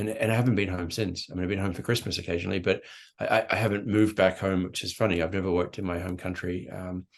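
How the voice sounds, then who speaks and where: Against a quiet background, a man with an Australian accent speaks at a very fast pace in a very deep, low pitch with fairly even intonation. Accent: Australian, unshaken after 35 years abroad. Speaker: marketing executive. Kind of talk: podcast interview.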